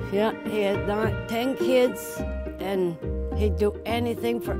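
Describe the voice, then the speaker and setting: Over loud background music, a woman speaks at a fairly slow pace in a dry sound with no echo. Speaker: daughter or son of the wish recipient. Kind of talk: interview answer. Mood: emotional, loving. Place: garage.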